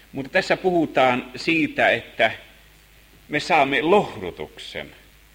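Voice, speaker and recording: A man talks at a very slow pace, his voice showing vocal fry. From Finland, Helsinki. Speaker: Bible teacher. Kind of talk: Bible lesson sermon.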